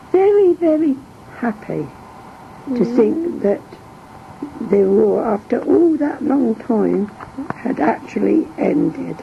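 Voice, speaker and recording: Very slow speech in an East Midlands accent, very wide pitch swings, long, frequent pauses and noticeable background noise. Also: woman, high pitch for a woman. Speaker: war-time wife and mother. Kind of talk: interview answer.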